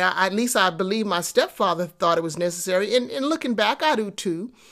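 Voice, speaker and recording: A woman speaks at a medium pitch with lively intonation. It is a plain, everyday voice. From Texas, then New York City projects. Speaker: podcast host, entrepreneurship coach. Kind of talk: motivational monologue. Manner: conversational with frequent fillers and repetitions.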